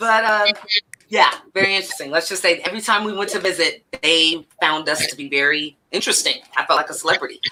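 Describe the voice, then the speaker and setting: Speaking very fast in an American accent, a woman sounds animated. Her pitch is medium, with ordinary pitch variation. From Northern California (Elk Grove). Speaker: podcast host. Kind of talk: casual chat.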